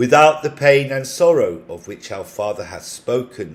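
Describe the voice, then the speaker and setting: Vocal fry marks a man's speech, which moves at a fairly slow pace with lively intonation. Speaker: amateur audiobook narrator. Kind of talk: scripture audiobook reading. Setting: home recording.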